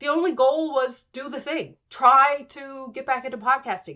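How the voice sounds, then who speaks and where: A woman speaks in a high, bright and sharp voice, raised and projected. Her pitch varies in an ordinary way. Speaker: podcast host. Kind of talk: solo podcast monologue. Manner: casual, conversational.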